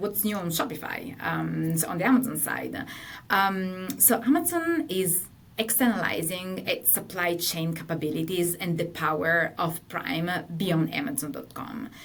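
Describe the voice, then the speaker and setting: A woman with an Italian accent, medium pitch, lively intonation and vocal fry, plus audible room echo. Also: moderate pace. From Italy. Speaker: partner manager at tech company. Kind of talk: webinar presentation.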